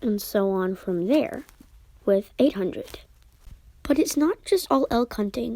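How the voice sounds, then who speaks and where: Woman's dark, mellow tone with very wide pitch swings. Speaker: gaming YouTuber. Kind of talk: gaming tutorial.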